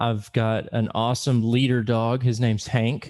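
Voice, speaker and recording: A man with a Southern US accent speaks at a fairly slow pace. His tone is dark and mellow, and the background is quiet. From US South, Little Rock, Arkansas. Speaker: director of blind education programs. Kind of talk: podcast interview.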